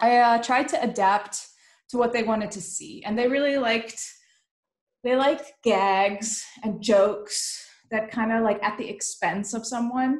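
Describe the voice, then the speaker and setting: A woman with a Dutch accent at a fairly slow pace, fairly even in intonation, with audible room echo over a quiet background. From Netherlands. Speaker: illustrator and panel host; panel host. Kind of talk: casual panel conversation. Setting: pre-recorded online live stream. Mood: reflective, self-deprecating. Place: home room. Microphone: webcam.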